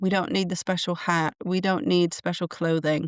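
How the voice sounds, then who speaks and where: A woman with an English accent speaks at a medium pitch. The recording is very clean, with a silent background and a dry, close sound with no echo. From England. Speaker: podcast host and channeler. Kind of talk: solo podcast monologue. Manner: conversational with fillers and restarts.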